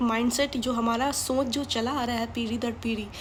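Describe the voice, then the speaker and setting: This woman talks over noticeable background noise. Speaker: motivational speaker. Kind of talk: motivational talk. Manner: Hindi-English code-mixing; harsh, blunt tone.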